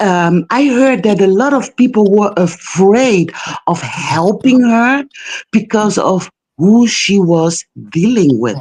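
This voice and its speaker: A woman with a non-native accent speaks very slowly at a medium pitch, her loudness very even and her intonation lively. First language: not English. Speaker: caller on live stream. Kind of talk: call-in discussion. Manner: halting, many fillers.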